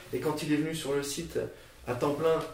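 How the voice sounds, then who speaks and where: Fairly high in pitch, a man talks at a fairly quick pace with noticeable background noise and audible room echo. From France, Nancy (Lorraine). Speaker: editor-in-chief of a marketing media outlet. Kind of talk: podcast interview. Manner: halting, many repetitions and fillers.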